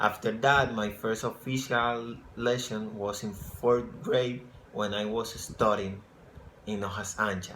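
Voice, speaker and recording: Speaking very slowly in a Spanish accent, a man has a bright, sharp tone and medium pitch. His intonation is monotone and flat, and audible room echo is present. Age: 20s. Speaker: English program applicant. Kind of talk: application video answering questions. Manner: halting.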